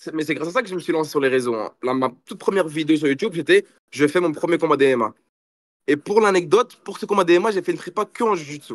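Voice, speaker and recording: Speaking at a very fast pace, a man uses a high pitch and lively intonation, with big swings in loudness. The sound is dry and close, with no echo. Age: 20s. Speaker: jiu-jitsu athlete and influencer. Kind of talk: interview. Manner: casual, animated.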